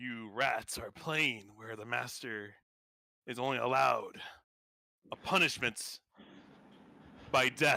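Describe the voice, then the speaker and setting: Putting on a raspy character voice, a man speaks at a medium pitch and a fairly slow pace, with big swings in loudness and long, frequent pauses. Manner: menacing, ominous.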